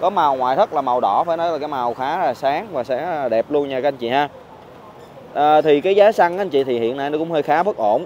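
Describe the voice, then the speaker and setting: Speaking at a fairly quick pace, a man uses lively intonation. The sound is dry with no echo, and there is light background noise. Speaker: car salesman. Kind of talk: sales presentation commentary. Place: street. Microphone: phone near.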